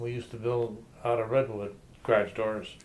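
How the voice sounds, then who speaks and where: A medium-pitched man at a fairly slow pace, in a Detroit accent. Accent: Midwestern American (Detroit). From Detroit, US Midwest. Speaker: grandfather telling his life story. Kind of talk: oral history interview. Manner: halting, with many fillers.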